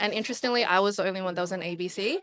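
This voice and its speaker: A woman with a medium-pitched voice speaks with an Australian accent. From Sydney, Australia (Hurstville). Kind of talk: casual interview.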